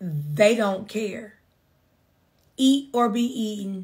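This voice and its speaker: A woman's somewhat breathy voice, fairly high in pitch, at a very slow pace with ordinary pitch variation. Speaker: business coach and attorney. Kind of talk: live-stream business talk. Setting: online livestream.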